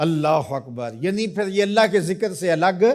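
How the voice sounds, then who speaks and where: A man speaks at high pitch. His intonation is lively. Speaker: Islamic preacher. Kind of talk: religious sermon.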